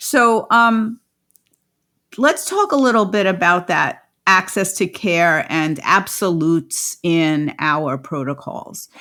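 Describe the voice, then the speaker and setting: In a New York accent, a woman speaks very slowly at medium pitch with a bright, sharp tone and very wide pitch swings, on a very clean recording with a silent background. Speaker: podcast host, midwife and lactation consultant. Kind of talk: interview podcast.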